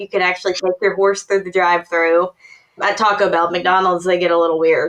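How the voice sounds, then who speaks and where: With a Tennessee accent, a woman talks at a medium pitch. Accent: Tennessee Southern. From Tennessee, near Nashville. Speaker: workplace consultant. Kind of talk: podcast interview.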